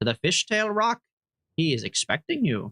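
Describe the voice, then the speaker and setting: A man puts on a gravelly character voice at a high pitch. His pitch swings very widely at a moderate pace. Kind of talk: game character voicing. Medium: game stream.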